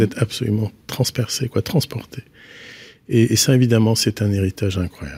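At a moderate pace, a man with a somewhat breathy, dark, mellow tone speaks at a fairly low pitch with ordinary pitch variation, in a very clean recording with a silent background and a dry, close sound with no echo. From Brittany, north Finistère. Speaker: architect. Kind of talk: interview. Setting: studio. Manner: halting.

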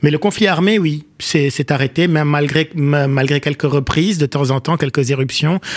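At a moderate pace with hardly any pauses, a man talks at a fairly high pitch, with ordinary pitch variation and very even loudness. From Lebanon, Beirut (Achrafieh). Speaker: writer and political scientist. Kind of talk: radio interview. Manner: halting, many hesitations.

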